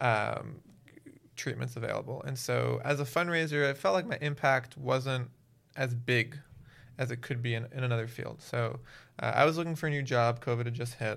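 In a very clean recording with a silent background, a man with an American accent and an unremarkable speaking voice talks at a medium pitch and a moderate pace with fairly even intonation. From Miami, Florida. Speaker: nonprofit founder. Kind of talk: casual interview.

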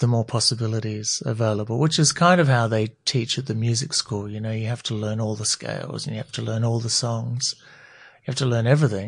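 A man with an Australian accent speaks at a fairly quick pace and medium pitch, somewhat breathy, with ordinary pitch variation and a quiet background. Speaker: eyewear designer. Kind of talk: interview.

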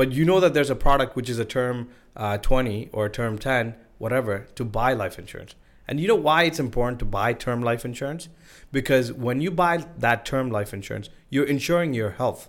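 Over a very clean recording with a silent background, a man with a Sri Lankan accent speaks at a medium pitch and a fairly quick pace, with ordinary pitch variation. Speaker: insurance broker. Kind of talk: casual podcast interview.

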